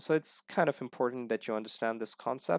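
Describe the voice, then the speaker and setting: A man's medium-pitched voice with a non-native accent and fairly even intonation, dry and close with no echo, in a very clean recording with a silent background. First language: not English. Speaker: programming tutorial teacher. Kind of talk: screen-recorded coding tutorial. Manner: halting, many fillers; casual, friendly.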